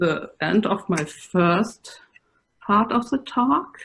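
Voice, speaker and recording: A woman with a German accent speaks at a very slow pace, somewhat breathy, with very wide pitch swings. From Germany. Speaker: computer science professor. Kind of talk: conference presentation.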